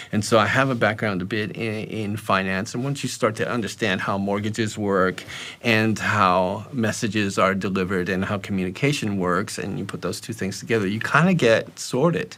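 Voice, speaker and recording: A man with a North American accent speaks at a moderate pace, fairly low in pitch with ordinary pitch variation. He uses hardly any pauses, and there is noticeable background noise. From US, New York City. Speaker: personal finance educator. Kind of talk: interview. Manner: halting, many repetitions.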